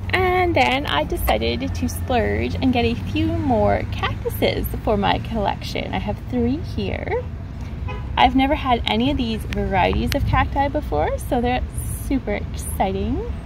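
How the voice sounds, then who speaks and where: Noticeable background noise sits behind a woman talking at a fairly slow pace. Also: dry sound with no echo. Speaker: gardening vlogger. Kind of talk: casual vlog chat. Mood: cheerful, excited. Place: street. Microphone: phone near.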